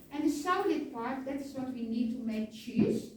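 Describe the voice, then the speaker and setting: A woman speaks with a Dutch accent at a moderate pace. Audible room echo can be heard. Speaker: tour guide. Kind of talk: guided tour explanation. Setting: cheese farm tour.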